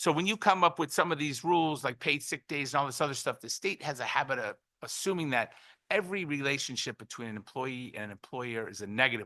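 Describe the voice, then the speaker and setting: This man talks very fast in a fairly high, bright and sharp voice with lively intonation and big swings in loudness. The sound is dry and close with no echo, over a quiet background. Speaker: business owner testifying. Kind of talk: public testimony.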